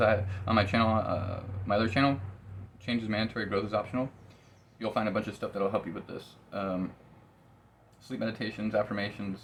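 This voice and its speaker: The man's voice is fairly low-pitched and somewhat breathy. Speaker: tarot reader and psychic medium. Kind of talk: tarot reading monologue. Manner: fast; casual, swearing, with filler words.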